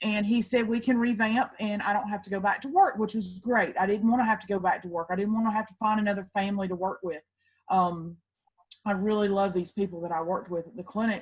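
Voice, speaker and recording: A woman with a Southern accent, medium pitch, fairly even intonation and big swings in loudness. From US South, Georgia. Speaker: network marketing distributor. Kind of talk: testimony.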